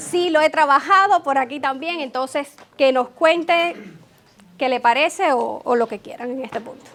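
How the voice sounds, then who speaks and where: Against noticeable background noise, a high-pitched woman talks with ordinary pitch variation and big swings in loudness. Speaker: tech consultant, conference speaker. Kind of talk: conference talk. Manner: fast.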